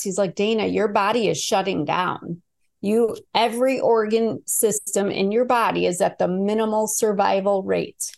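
Her pitch medium and its variation ordinary, a woman speaks with a Midwestern US accent. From Chicago, US Midwest. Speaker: abuse survivor and author. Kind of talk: casual interview.

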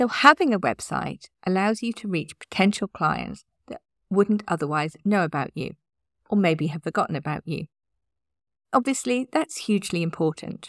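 Vocal fry runs through the voice, with very wide pitch swings and big swings in loudness at a moderate pace. The recording is very clean with a silent background, and the sound is dry and close with no echo. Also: woman, medium pitch for a woman. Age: 50s. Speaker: podcast host, website designer. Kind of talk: solo podcast tips talk.

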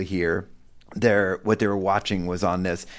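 This man has a normal speaking voice, fairly low in pitch, moving at a fairly quick pace. The recording is very clean, with a silent background. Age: 50s. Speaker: parenting author and speaker. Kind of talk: casual chat.

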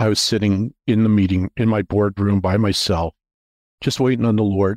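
A man with a Canadian accent talks in a normal speaking voice at a moderate pace, fairly low in pitch. The recording is very clean, with a silent background. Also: dry, close sound with no echo. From Canada, Toronto area. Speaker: investment bank founder. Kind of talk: casual interview, faith testimony.

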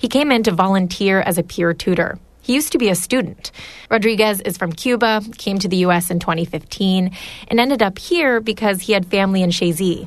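With ordinary pitch variation and a fairly quick pace, this is a plain, everyday voice. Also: woman, medium pitch for a woman. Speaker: radio reporter. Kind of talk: scripted news feature narration.

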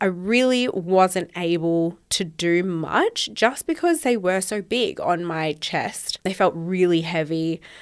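An Australian accent marks this woman's speech, which moves at a very slow pace with hardly any pauses. Her pitch is medium, with ordinary variation. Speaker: podcast host. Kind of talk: casual solo chat.

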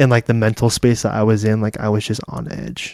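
A man of medium pitch has an unremarkable speaking voice with ordinary pitch variation. He speaks at a moderate pace, the sound dry and close with no echo. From California. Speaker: guest sharing experiences of living in Thailand. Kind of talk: casual chat. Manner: casual, filler-heavy.

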